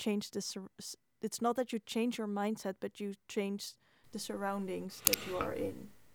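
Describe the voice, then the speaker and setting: Speaking with a Dutch accent, a woman at a medium pitch keeps a monotone, flat intonation on a very clean recording with a silent background and a dry, close sound with no echo. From Netherlands. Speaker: podcast interviewer. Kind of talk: interview conversation.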